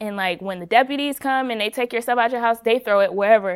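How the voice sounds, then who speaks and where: A woman with an American accent has an ordinary speaking voice and talks at a fairly quick pace. The recording is very clean, with a silent background. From Rochester, New York, then Tampa from age twelve. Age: 20s. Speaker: formerly homeless youth, student. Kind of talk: casual interview.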